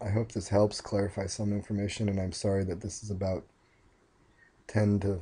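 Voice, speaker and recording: Fairly quick and monotone, a man's fairly low, somewhat breathy voice has a dark, mellow tone. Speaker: math teacher. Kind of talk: lecture.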